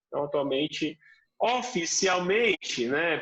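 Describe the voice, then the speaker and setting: A man talks in a plain, everyday voice at a moderate pace with ordinary pitch variation. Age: young. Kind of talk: interview.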